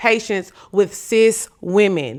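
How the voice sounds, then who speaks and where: Animated speech with ordinary pitch variation in a very clean recording with a silent background. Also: woman. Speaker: podcast host. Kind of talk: casual commentary. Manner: loud.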